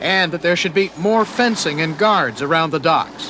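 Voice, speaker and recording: At a moderate pace, a man talks in a raised, projected voice. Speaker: TV news reporter. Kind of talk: TV news report narration.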